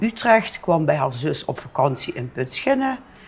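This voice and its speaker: Fairly low-pitched woman's voice with very wide pitch swings, moderate pace, and noticeable background noise. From Netherlands, Limburg (Heerlen area). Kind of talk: interview. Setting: bar.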